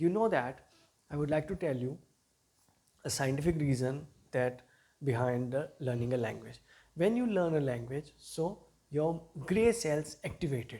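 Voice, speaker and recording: A man's somewhat breathy voice has a dark, mellow tone and a fairly high pitch with ordinary pitch variation. He leaves long, frequent pauses. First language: not English. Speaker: English teacher. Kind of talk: motivational talk to camera.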